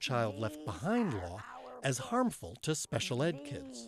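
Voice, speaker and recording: With an ordinary speaking voice, a man talks at a fairly slow pace in a medium pitch with lively intonation. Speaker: TV producer. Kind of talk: TV news feature narration.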